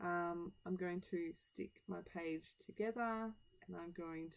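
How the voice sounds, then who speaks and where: A woman speaks with an Australian accent at a fairly low pitch. Her intonation stays fairly even. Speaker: scrapbooking video creator. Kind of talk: tutorial voiceover. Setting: home voiceover.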